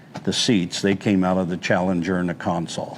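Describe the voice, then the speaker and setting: A man with an American accent talks at a moderate pace in a very deep, low voice. Room echo is audible. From Wyoming, US. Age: 70s. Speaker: car collector. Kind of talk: casual chat.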